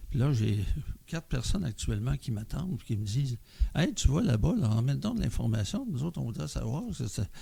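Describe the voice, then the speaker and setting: The speaker has a Quebec accent. The pace is fairly quick. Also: man. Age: 70s. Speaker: member of community organization. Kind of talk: podcast interview.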